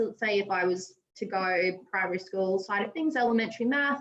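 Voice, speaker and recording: A woman speaks in an Australian accent. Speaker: teacher presenting at an educator meetup. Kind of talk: tutorial demo.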